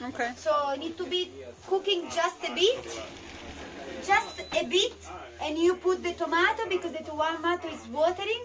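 A woman, talking at a fairly slow pace, is heard with noticeable background noise behind her. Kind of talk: casual cooking tutorial. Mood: relaxed, friendly. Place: boat. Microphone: phone near.

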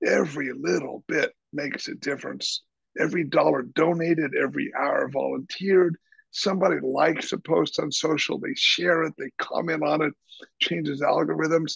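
Against a quiet background, the speaker talks at a moderate pace with an American accent in a dry sound with no echo. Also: man. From Kansas, US Midwest. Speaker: chef and nonprofit founder; podcast guest. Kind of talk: casual interview. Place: home room. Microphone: video call.

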